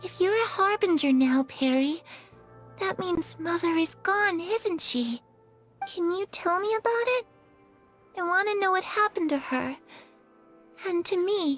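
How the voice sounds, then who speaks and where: In a put-on character voice, a female-sounding speaker with a warm tone and an extremely high pitch moves at a moderate pace with long, frequent pauses while faint music plays in the background. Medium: video game. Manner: soft, sincere, warm.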